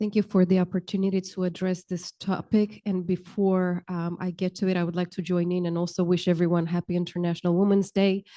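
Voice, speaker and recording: A woman's medium-pitched, monotone voice with a Romanian accent, delivered at a fairly quick pace. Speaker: county human services official. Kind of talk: panel discussion.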